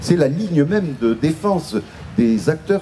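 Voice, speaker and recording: A man with very wide pitch swings at a fairly slow pace, over noticeable background noise. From Bayonne, French Basque Country (southwest France). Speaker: writer and commentator speaking at a festival. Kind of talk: talk at a public gathering. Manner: halting, many hesitations and repetitions.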